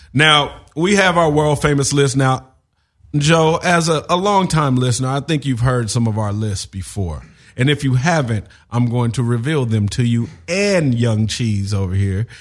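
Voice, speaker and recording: A man with an American accent, medium pitch, lively intonation, a somewhat breathy quality and a moderate pace. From Los Angeles. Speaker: podcast host. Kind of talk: casual chat.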